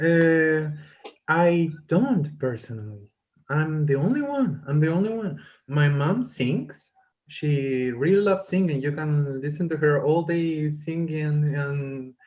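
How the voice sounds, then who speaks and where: A man with a Spanish accent and a fairly high pitch, somewhat breathy, at a very slow pace with ordinary pitch variation and audible room echo. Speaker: musician and English teacher trainee. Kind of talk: casual Q&A panel chat.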